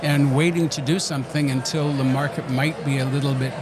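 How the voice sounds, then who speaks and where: Speaking fairly quickly with a Canadian accent, a man with a fairly high voice keeps his intonation fairly even, amid audible room echo and noticeable background noise. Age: 70s. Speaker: real estate agent. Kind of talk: interview. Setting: conference venue.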